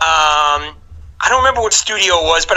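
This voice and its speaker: The pace is fairly quick, with ordinary pitch variation. The speaker has a New York accent. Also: man. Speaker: game show contestant. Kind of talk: podcast interview. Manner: halting, many fillers and restarts.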